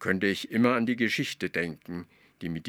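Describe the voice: Someone reads aloud plainly.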